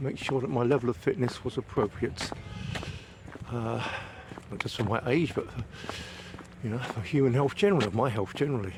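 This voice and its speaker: A man with an English accent over noticeable background noise. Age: 60s. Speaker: vlogger. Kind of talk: casual walking vlog monologue. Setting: outdoors, walking in woods. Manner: hesitant, frequent fillers.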